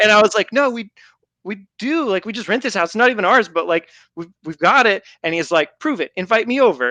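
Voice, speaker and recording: In a raised, projected voice, a man with an American accent speaks at a fairly quick pace, high-pitched, bright and sharp, with lively intonation and an animated tone, the sound dry and close with no echo against a quiet background. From France and Belgium (American-born). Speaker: gaming podcast co-host. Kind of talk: casual chat. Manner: animated storytelling.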